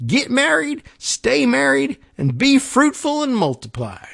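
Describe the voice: In a put-on character voice with a Texan accent, the speaker talks at a fairly slow pace and a fairly high pitch. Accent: Texan drawl with dropped g's.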